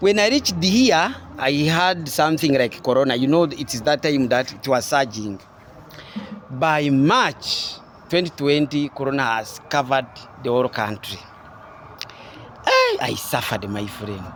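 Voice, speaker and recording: There is noticeable background noise behind a man with a fairly high voice. He speaks with lively intonation and long, frequent pauses. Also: moderate pace. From Rwanda. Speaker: comedian and poet. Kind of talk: interview testimony. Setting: at a national theatre venue.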